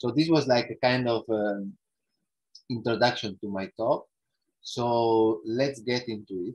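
A man with an Italian accent and ordinary pitch variation. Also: quiet background. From northern Italy, Alps. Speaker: ecological economics researcher; guest lecturer. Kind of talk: lecture. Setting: video call. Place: home room. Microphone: earbuds.

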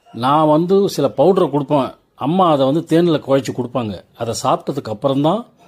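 With a plain, everyday voice, this man sits fairly high in pitch and varies it in an ordinary way. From Tamil Nadu, Tindivanam. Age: 60s. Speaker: travel vlogger and commentator. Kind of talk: storytelling monologue over scenery. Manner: conversational, rhetorical questions.

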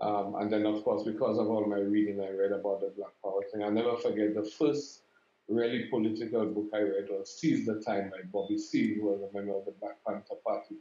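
A man with a Saint Lucian accent, fairly low-pitched, flat and monotone, at a fairly quick pace, with audible room echo. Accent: St. Lucian English. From St. Lucia. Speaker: regional intergovernmental director, education official; interviewee. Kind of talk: interview. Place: office.

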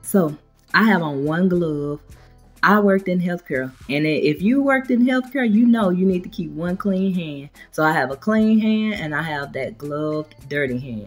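Faint music plays in the background as a woman speaks at a moderate pace in a fairly low voice. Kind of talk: tutorial. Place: kitchen. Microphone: camera far.

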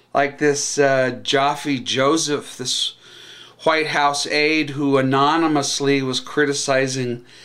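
A man speaks at a very slow pace in a bright, sharp tone. Behind him the background is quiet. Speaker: political vlogger. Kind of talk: political commentary vlog. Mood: sarcastic, indignant. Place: home room. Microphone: webcam.

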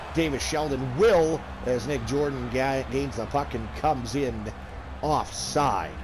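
Noticeable background noise runs under the recording. A man speaks at a very slow pace. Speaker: sports commentator and stats keeper. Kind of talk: live hockey play-by-play commentary. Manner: fills gaps with casual 'uh' hesitations, conversational tone.

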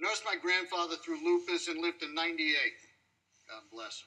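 A moderate pace from a male speaker. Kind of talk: casual storytelling chat. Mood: fond, reminiscing about grandmother. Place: hall.

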